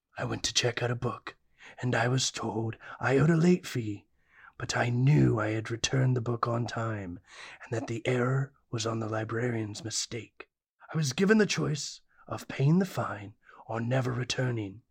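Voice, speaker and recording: The pitch falls in the low-to-middle range. It is a put-on character voice. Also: moderate pace. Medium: audio drama. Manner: grandiose, melodramatic.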